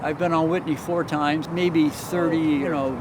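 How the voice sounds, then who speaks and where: Noticeable background noise is heard behind the man as he talks. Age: 70s. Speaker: triathlete. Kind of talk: interview answer.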